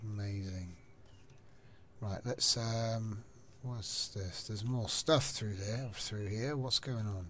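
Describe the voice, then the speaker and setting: A man speaks at a very slow pace, leaving long, frequent pauses, his fairly low voice keeping a fairly even intonation. Noticeable background noise runs under the recording. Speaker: gaming channel host. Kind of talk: casual chat.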